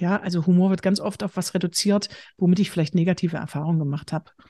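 Speaking at a very fast pace with a slight Saxony-Anhalt accent, a woman has a somewhat breathy, dark, mellow tone at medium pitch, with ordinary pitch variation against a quiet background. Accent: slight Saxon-Anhalt dialect. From eastern Germany, Bitterfeld-Wolfen (Saxony-Anhalt). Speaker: humor trainer and speaker. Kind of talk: interview conversation.

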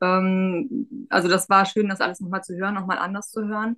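At a fairly quick pace, the speech carries a bright, sharp tone. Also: woman. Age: 30s. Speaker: pharmacy technician, coaching client. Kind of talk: interview.

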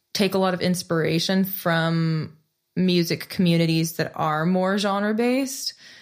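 Speaking very slowly in a Californian accent, a woman with a fairly low pitch and ordinary pitch variation comes through on a very clean recording with a silent background. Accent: Californian American English. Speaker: singer-songwriter. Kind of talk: casual interview chat.

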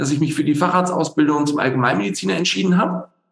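The speaker's intonation is lively, with audible room echo. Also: man. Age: 40s. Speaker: general practitioner and stress medicine doctor. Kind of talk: interview. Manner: hesitant, many fillers.

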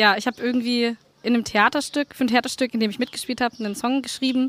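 A high-pitched woman's voice, very fast and monotone with flat intonation, in a dry, close sound with no echo. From Franconia, Nuremberg. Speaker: musician. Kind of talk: interview.

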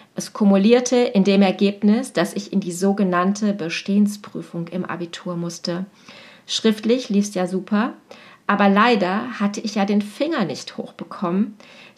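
This woman's voice is somewhat breathy and medium in pitch, with ordinary pitch variation and a moderate pace. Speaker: teacher and coach. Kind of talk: personal podcast monologue.

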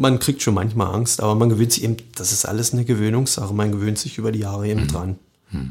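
Speaking at a very fast pace, a man uses a fairly low pitch with ordinary pitch variation. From Lusatia, Brandenburg (Sorbian-Wendish area near Cottbus). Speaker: chef and soup restaurant owner. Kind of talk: casual interview. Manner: hesitant, many fillers.

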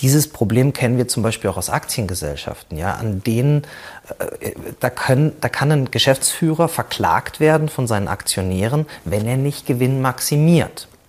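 Here a man with an ordinary speaking voice talks at a moderate pace and medium pitch, with lively intonation. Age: 40s. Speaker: cooperative founder and business consultant. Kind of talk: presentation talk.

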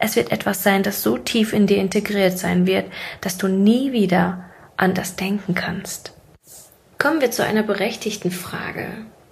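Using an unremarkable speaking voice, a woman speaks at a fairly slow pace and medium pitch with ordinary pitch variation. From Siberia, Russia. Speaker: podcast host, mindset coach. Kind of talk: monologue, casual motivational talk. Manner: casual, laughing at times.

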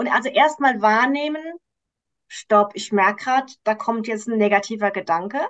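At a moderate pace, a woman uses an ordinary speaking voice at fairly high pitch with ordinary pitch variation. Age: 50s. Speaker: coach for women, cancer survivor. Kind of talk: interview.

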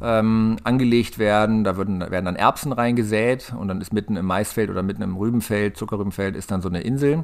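A man talking at a very fast pace with ordinary pitch variation, very cleanly recorded against a silent background. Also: fairly low pitch for a man. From northern Germany, Hanover area (Lower Saxony). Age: 40s. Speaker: farmer. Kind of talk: interview.

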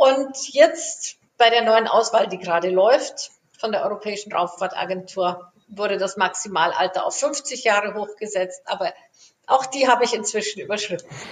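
Speaking at a moderate pace, a woman uses an ordinary speaking voice, fairly high in pitch with ordinary pitch variation. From Germany. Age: 50s. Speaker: aerospace engineer. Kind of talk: interview.

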